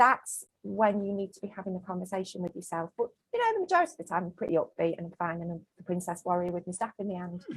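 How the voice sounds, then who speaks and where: A woman with a Mancunian accent talks at a very fast pace with hardly any pauses. Her voice is somewhat breathy and swings a lot in loudness. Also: medium pitch for a woman. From Manchester, northern England. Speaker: small business owner. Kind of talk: casual interview chat. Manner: animated.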